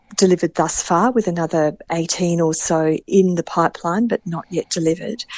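A woman with a plain, everyday voice speaks at a moderate pace in a fairly low pitch, recorded dry and close with no echo against a quiet background. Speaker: state water minister. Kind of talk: radio interview answers on policy.

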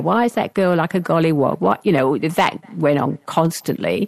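A woman's very deep, low voice with vocal fry at a moderate pace, in a dry, close sound with no echo. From England. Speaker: retired academic. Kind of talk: interview. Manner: halting, with many fillers.

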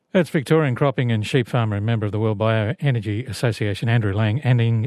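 Speaking at a fairly quick pace in an Australian accent, a man is heard with a dry, close sound, no echo, and a quiet background. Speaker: radio host. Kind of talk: radio program hosting. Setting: studio.

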